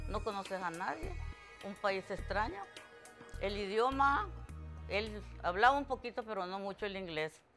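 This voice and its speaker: Faint music plays in the background as the speaker goes at a fairly slow pace, with long, frequent pauses and ordinary pitch variation. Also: woman. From Costa Rica. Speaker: preschool teacher. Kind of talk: interview answer. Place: home room.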